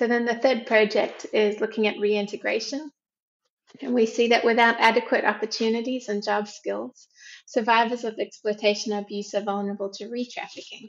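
A woman speaks at a fairly quick pace with an Australian accent. Her intonation stays monotone and flat. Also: fairly high pitch for a woman. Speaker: researcher. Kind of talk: interview.

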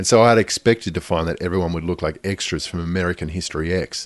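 Speaking at a very fast pace with an Australian accent, the voice shows ordinary pitch variation. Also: man. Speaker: podcast host and audio producer. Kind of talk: scripted narration.

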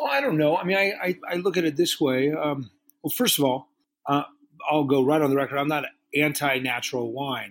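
This man uses a normal speaking voice, fairly high in pitch, moving at a fairly quick pace with ordinary pitch variation. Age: 50s. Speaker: master sommelier and restaurateur. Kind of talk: interview.

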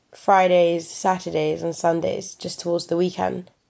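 Here a woman talks in a London accent. Her voice is fairly low and her pace moderate. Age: 20s. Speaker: young storyteller. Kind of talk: personal storytelling.

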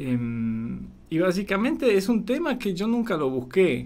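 A man with a Polish accent at a fairly slow pace, audible room echo around him. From Poland. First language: Polish (speaking Spanish). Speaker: documentary filmmaker. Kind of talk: radio interview. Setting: radio studio.

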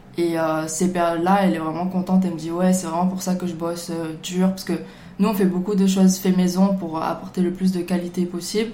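The speech comes at a fairly quick pace in a monotone, flat intonation. Audible room echo and noticeable background noise are present. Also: woman, medium pitch for a woman. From Marseille, France. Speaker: bubble tea business owner. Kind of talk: casual chat.

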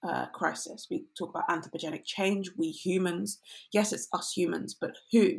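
A woman speaks in a London accent. Her pace is moderate. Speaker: climate activist and researcher. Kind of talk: interview conversation.

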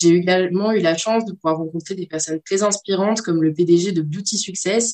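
With fairly even intonation, a woman talks at a moderate pace in an ordinary speaking voice. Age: 20s. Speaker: marketing student. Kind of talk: personal testimony monologue.

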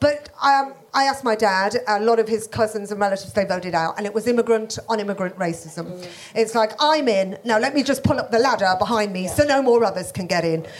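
A woman with a Birmingham accent at a very fast pace, fairly high in pitch with ordinary pitch variation. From Birmingham, England. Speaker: comedian. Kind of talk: panel discussion before live audience. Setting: stage with audience.

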